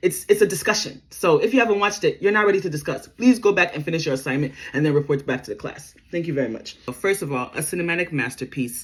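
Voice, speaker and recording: The speech comes at a very fast pace with hardly any pauses. The tone is animated. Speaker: YouTuber film commentator. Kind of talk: movie breakdown monologue.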